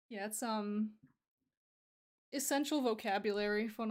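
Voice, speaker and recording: A woman speaks with a fairly high pitch. The background is quiet. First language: Russian. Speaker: streamer and digital artist; streamer. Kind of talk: casual chat. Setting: live stream. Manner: halting. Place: home room.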